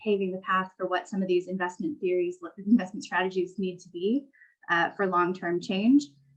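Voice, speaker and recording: A woman with an American accent speaks at a moderate pace and a medium pitch in an unremarkable speaking voice. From California. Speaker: technology investment strategist. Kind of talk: panel discussion.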